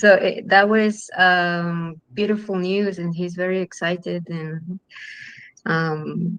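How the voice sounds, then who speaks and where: A woman at a medium pitch talks at a very slow pace with monotone, flat intonation and big swings in loudness. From Chile. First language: Spanish. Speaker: film director. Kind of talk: panel interview. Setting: online live stream. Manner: halting, many fillers.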